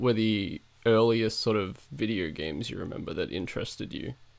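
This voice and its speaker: A man speaks at a medium pitch and a moderate pace. His pitch variation is ordinary. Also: big swings in loudness. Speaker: podcast host. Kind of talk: interview.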